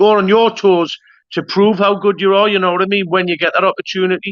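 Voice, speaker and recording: Talking at a fairly quick pace with long, frequent pauses, a man with a Geordie accent uses a high pitch, monotone, flat intonation and very even loudness. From northern England, Newcastle. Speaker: YouTube interviewer. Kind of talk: interview.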